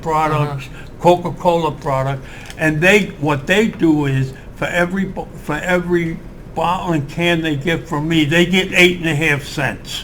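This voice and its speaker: The delivery comes at a fairly slow pace with fairly even intonation. Noticeable background noise runs underneath. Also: man, fairly high pitch for a man. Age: 80s+. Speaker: Korean War Marine veteran. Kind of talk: interview answer.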